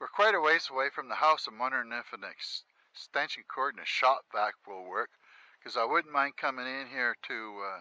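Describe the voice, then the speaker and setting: An ordinary speaking voice from a man at medium pitch and moderate pace, with lively intonation and big swings in loudness, dry and close with no echo over a quiet background. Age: 60s. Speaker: homesteader vlogger. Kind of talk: casual walkthrough vlog. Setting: outdoors.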